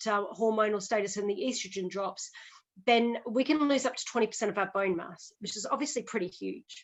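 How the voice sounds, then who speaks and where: An Australian accent from a woman at a moderate pace, fairly high in pitch, with ordinary pitch variation. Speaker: physiotherapist. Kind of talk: podcast interview. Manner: explanatory, conversational with fillers.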